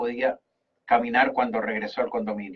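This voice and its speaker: This man speaks with a Chilean accent. His pitch swings very widely. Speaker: radio host. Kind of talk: radio talk show commentary. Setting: radio studio.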